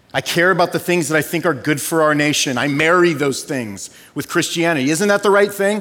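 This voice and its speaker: With noticeable background noise, a man in an American accent talks at a fairly quick pace in a high pitch with ordinary pitch variation. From Southern California. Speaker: pastor. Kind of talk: sermon. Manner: animated.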